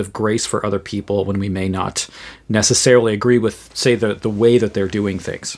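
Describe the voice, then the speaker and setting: Someone with a New England accent speaks at a fairly quick pace. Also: man. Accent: New England American. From US Northeast, Western Massachusetts. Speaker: theologian and podcaster. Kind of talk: solo podcast commentary. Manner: halting, many repeated words and fillers.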